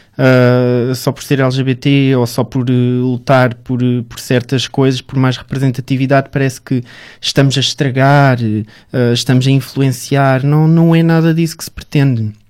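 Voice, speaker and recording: A man's medium-pitched voice, fairly slow and monotone with flat intonation. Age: 20s. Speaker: founder of an LGBT media outlet, model and actor. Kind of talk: interview.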